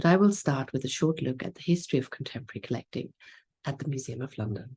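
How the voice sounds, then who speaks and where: Speaking very fast in a German accent, a woman uses a very deep, low pitch, a dark, mellow and somewhat breathy tone, and lively intonation. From Germany. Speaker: museum curator. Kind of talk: conference lecture. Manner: formal.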